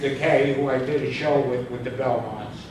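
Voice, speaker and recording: A man is speaking, and room echo can be heard. Noticeable background noise runs underneath. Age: 70s. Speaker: student presenter. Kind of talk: class presentation. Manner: halting.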